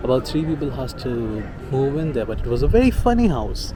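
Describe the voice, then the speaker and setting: At a moderate pace, a man talks amid audible room echo and noticeable background noise. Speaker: vlogger. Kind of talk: casual storytelling vlog. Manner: halting, stuttering.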